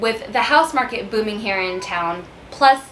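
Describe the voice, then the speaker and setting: A woman talks fairly slowly, and noticeable noise can be heard behind her. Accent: Texan. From San Antonio, Texas. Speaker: realtor. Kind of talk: casual talk to camera.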